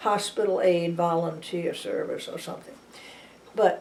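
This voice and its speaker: A woman's dark, mellow voice at a medium pitch with an American accent, fairly even intonation and a moderate pace, with audible room echo. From New Orleans, Louisiana. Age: 90s. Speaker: retired nurse. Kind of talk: oral history interview. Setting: at her home. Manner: halting, many restarts.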